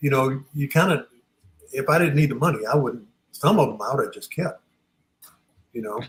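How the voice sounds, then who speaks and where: A man's somewhat breathy, fairly high-pitched voice with ordinary pitch variation, a fairly quick pace, and long, frequent pauses. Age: 70s. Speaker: sports artist. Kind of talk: casual chat.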